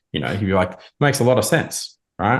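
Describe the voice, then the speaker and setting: A man with a strong Australian accent and ordinary pitch variation, against a quiet background. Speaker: marketing consultant advising a client. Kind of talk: informal. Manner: casual, conversational, many filler words.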